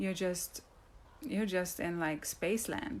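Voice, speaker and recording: Speaking with an American accent, the voice comes across somewhat breathy. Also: woman. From outside the US. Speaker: wellness coach. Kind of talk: live video talk. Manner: fast.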